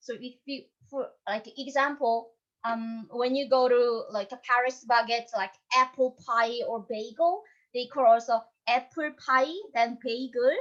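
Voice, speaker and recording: Her voice is high for a woman, with fairly even intonation and a Korean accent. She speaks at a fairly slow pace, with big swings in loudness. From North Korea. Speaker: North Korean escapee and YouTuber. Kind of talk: panel discussion.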